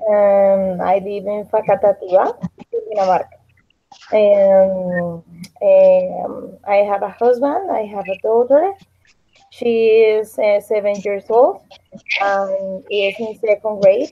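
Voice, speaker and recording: A very slow delivery in a Spanish accent, with fairly even intonation. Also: woman, medium pitch for a woman. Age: 30s. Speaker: English student and teacher. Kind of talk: language class introduction. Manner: halting.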